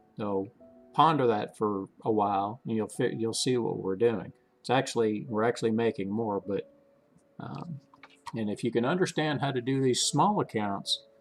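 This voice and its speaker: Noticeable background noise and a man's voice at a medium pitch. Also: ordinary pitch variation. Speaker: stock trading channel host. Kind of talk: live trading commentary. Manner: fast; casual, halting with self-corrections.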